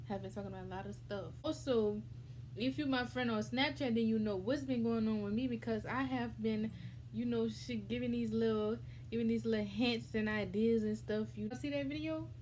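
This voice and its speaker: With an American accent, a woman talks at a fairly quick pace. There is light background noise. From US South, Louisiana. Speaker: mukbang vlogger. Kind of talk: casual vlog chat. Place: home room. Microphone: phone near.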